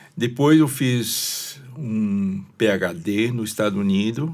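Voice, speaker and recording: Fairly low in pitch, a man's voice shows ordinary pitch variation. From China (Shanghai). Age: 70s. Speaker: retired engineer and pastor. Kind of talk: interview.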